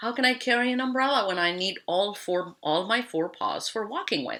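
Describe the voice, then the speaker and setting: It's a put-on character voice with a fairly high pitch. The pace is moderate. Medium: read story. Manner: blustering.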